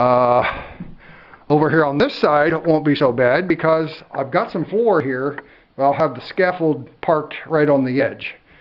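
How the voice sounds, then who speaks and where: The speaker, a man with a fairly high pitch, talks at a fairly slow pace with ordinary pitch variation. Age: 60s. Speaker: DIY home builder vlogger. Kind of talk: casual vlog narration. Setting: indoors on a building site, on scaffolding. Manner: casual, hesitant with many fillers.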